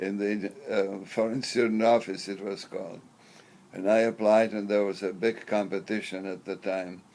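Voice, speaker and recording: His voice fairly low in pitch, a man talks at a moderate pace with monotone, flat intonation. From Czechoslovakia. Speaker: professor. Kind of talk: interview. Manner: halting.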